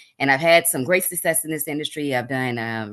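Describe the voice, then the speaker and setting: A woman talks at a very fast pace in a very deep, low voice. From Texas, Houston. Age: 50s. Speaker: cosmetology instructor. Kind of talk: casual remarks in an online class.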